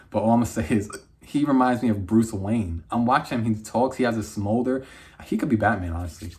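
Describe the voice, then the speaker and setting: At a very fast pace, a man speaks at medium pitch with ordinary pitch variation and a somewhat breathy voice. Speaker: movie reviewer. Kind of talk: casual review monologue. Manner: animated.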